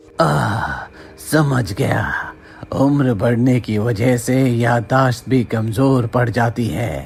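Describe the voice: A man's cartoonish character voice at medium pitch, very slow, with clear background noise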